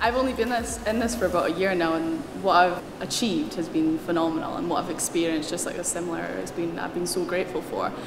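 With a fairly low pitch and lively intonation, a woman talks at a very fast pace with hardly any pauses. Noticeable background noise is present. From Scotland. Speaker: racing driver. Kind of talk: interview answer. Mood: enthusiastic, grateful.

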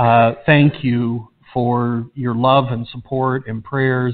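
A man speaks at a very slow pace in a monotone, flat intonation. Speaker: pastor. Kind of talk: announcement to the congregation. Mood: emotional, hesitant. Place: church.

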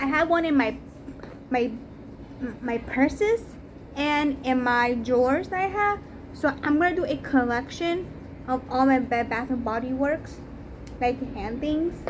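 A woman's high-pitched voice at a fairly slow pace, with ordinary pitch variation and long, frequent pauses

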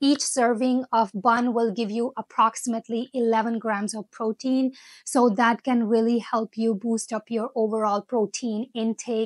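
Against a quiet background, a woman speaks at a fairly slow pace with fairly even intonation and a dry sound with no echo. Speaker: food vlogger. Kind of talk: casual vlog chat. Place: home room. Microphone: lapel.

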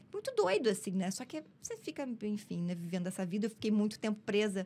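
A woman speaks at a medium pitch and a moderate pace, with ordinary pitch variation. Her tone is dark and mellow and somewhat breathy. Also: hardly any pauses. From southern Brazil, Novo Hamburgo, Rio Grande do Sul. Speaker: actress and comedian. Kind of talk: casual interview storytelling. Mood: candid personal storytelling. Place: studio. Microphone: studio mic.

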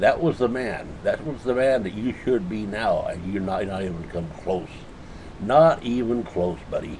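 A man talking at a moderate pace, with light background noise. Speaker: political commentator. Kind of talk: opinion rant to camera. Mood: indignant, scolding. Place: home room. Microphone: webcam.

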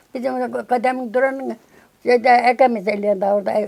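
Moving at a fairly quick pace, a woman speaks in a dark, mellow tone. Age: 80s+. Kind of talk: interview answer.

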